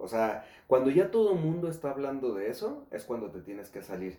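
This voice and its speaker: A man's dark, mellow tone at medium pitch, with lively intonation. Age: 30s. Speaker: entrepreneur, cryptocurrency expert. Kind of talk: casual interview.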